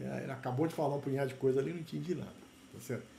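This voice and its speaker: Audible room echo surrounds a man's medium-pitched voice, which has a dark, mellow tone and vocal fry. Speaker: university lecturer in plant genetics. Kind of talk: lecture.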